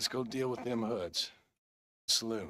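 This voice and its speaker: Putting on a raspy character voice, a man talks at a fairly slow pace with medium pitch and ordinary pitch variation. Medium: video game. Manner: laconic, dry.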